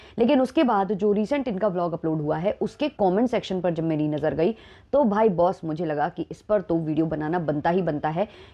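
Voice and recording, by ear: With few pauses, a woman speaks in a dark, mellow tone at a fairly low pitch. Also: ordinary pitch variation, fairly quick pace.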